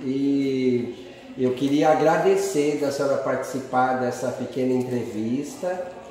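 The speech moves at a very slow pace. Strong room echo and light background noise are audible. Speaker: interviewer. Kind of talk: casual interview questions. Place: home room. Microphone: phone near.

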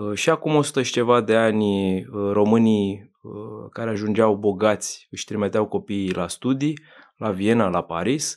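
Over a quiet background, a man speaks slowly-ish at a fairly slow pace, with a fairly low pitch and ordinary pitch variation. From Romania, Bucharest. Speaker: business magazine editor; podcast guest. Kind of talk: casual interview. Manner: halting, many fillers. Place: studio. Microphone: studio mic.

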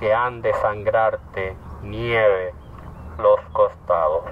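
A man speaks at a very slow pace with light background noise. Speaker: poet. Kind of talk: poetry reading. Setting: outdoors. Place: open country.

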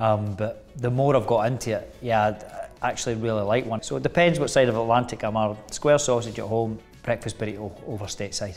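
With a Scottish accent, a man speaks at a fairly quick pace and a medium pitch, with hardly any pauses. Faint music plays in the background. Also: ordinary pitch variation. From Scotland. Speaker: actor. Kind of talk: interview answer. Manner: casual, chatty. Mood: relaxed, jokey. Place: home room. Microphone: lapel.

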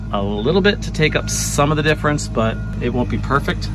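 Clear music plays in the background as a man talks at a fairly quick pace in a dry sound with no echo. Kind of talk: tutorial. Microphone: phone near.

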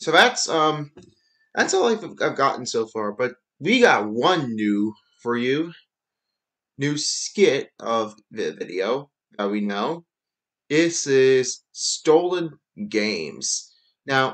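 At a very slow pace, the speech carries long, frequent pauses and very wide pitch swings. The background is quiet. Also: man. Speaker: channel creator. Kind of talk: casual screen-share commentary. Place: home room.

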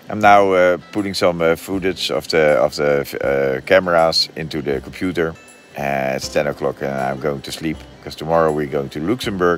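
A man with a very deep, low pitch speaks at a moderate pace with ordinary pitch variation, in a dry sound with no echo and faint music in the background. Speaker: motorcycle travel vlogger. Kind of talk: casual vlog chat. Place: tent. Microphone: phone near.

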